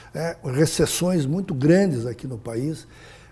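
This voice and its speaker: Fairly high in pitch, a man speaks with a dark, mellow tone and a somewhat breathy quality. His pace is fairly slow, with ordinary pitch variation. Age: 70s. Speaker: businessman, former state finance secretary. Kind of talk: interview. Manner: halting.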